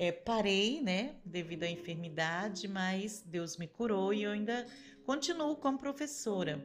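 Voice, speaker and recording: Lively intonation from a woman at a medium pitch and a fairly slow pace. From Brazil, Rio de Janeiro. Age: 50s. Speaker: teacher and church member. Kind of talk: testimony interview.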